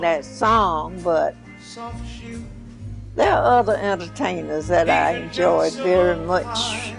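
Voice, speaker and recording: Speech unfolds at a very slow pace with music in the background. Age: 80s+. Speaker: video biography interviewee. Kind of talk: interview answer. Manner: halting, repetitive.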